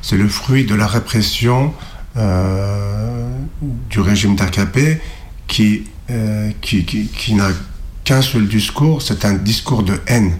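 A man's fairly low voice, very slow with long, frequent pauses, lively intonation and very even loudness. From Turkey (Kurdish, Alevi). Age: 40s. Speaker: activist on hunger strike. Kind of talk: interview. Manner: halting, many hesitations.

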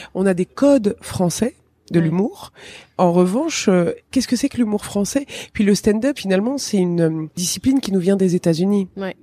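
A woman with a dark, mellow tone talks at a moderate pace and medium pitch, her intonation lively, in a dry, close sound with no echo. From Tunisia. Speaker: stand-up comedian. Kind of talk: interview.

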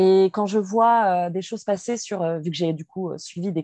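At a fairly slow pace, a woman speaks at a medium pitch with a dark, mellow tone and ordinary pitch variation, the sound dry and close with no echo. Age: 20s. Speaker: activist sharing personal story. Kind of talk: testimony.

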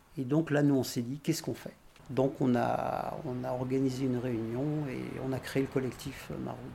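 A man talks at a moderate pace in a medium pitch with a monotone, flat intonation. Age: 60s. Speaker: retired activist volunteer. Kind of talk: testimony.

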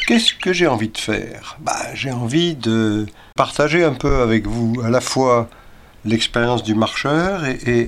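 With ordinary pitch variation, a man at a medium pitch speaks very slowly. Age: 70s. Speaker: retired long-distance walker. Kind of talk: scripted narration. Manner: halting.

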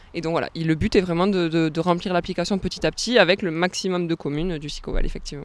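Talking at a very fast pace with hardly any pauses, a woman keeps a fairly low pitch and fairly even intonation. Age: 20s. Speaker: tourism officer. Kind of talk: radio interview. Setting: outdoors by a canal lock.

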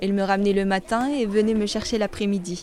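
A woman speaks over noticeable background noise. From Morocco, Salé. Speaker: student documentary maker. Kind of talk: scripted narration.

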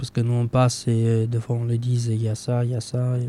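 A man speaks with monotone, flat intonation. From Romania. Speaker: association president. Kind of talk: radio interview. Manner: halting.

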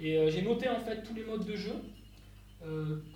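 A man speaks over noticeable background noise. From Landes, southwest France. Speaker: hurdy-gurdy musician. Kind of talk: talk at a live concert. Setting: stage with audience. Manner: halting.

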